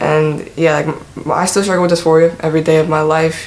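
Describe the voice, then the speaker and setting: Against noticeable background noise, a man talks at a moderate pace in a fairly high pitch with monotone, flat intonation. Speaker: YouTuber. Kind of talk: personal vlog. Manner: casual, filler-heavy.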